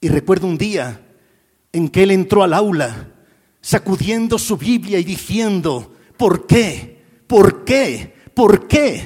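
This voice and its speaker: A man's high voice at a very slow pace with lively intonation. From Spain, Madrid. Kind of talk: sermon. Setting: church with audience.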